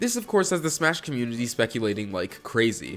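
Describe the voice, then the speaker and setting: With music in the background, a man talks at a very fast pace with very wide pitch swings. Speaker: gaming video essayist. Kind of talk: video essay narration.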